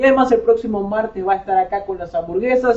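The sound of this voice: This man talks at a fairly quick pace with a high pitch.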